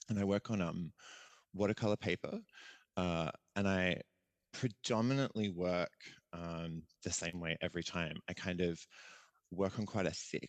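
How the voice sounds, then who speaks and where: Against a quiet background, a man with an Australian accent speaks at a very deep, low pitch with ordinary pitch variation. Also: dry, close sound with no echo. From Australia, Adelaide. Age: 30s. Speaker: visual artist and performer. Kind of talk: podcast interview. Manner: casual, hesitant with many fillers.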